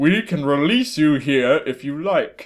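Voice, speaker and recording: Someone puts on a character voice and speaks rather slowly. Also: man. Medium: read story. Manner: formal, stiff.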